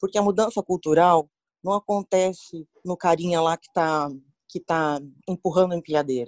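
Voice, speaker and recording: Using an unremarkable speaking voice, a woman talks fairly low at a moderate pace with ordinary pitch variation and big swings in loudness, in a dry, close sound with no echo. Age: 40s. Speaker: HR professional, psychologist. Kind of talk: interview.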